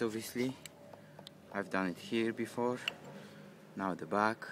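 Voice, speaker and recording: At a fairly slow pace, a man talks with a fairly low pitch and fairly even intonation. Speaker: amateur motorcycle mechanic. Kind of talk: tutorial. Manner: halting, many fillers and repetitions.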